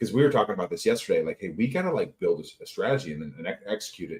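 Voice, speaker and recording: This man's voice sits at a medium pitch, shows vocal fry, and swings very widely in pitch. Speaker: defense innovation consultant. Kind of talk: casual chat. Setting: livestream video call. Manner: fast.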